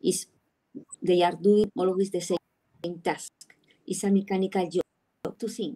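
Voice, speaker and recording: A woman with a Spanish accent speaks fairly slowly with a dark, mellow tone, fairly even intonation and long, frequent pauses against a quiet background. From Spain. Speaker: sports psychologist. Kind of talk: online panel discussion. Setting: video call. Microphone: video call.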